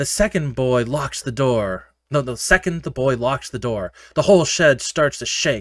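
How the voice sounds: Reading aloud in a natural reading voice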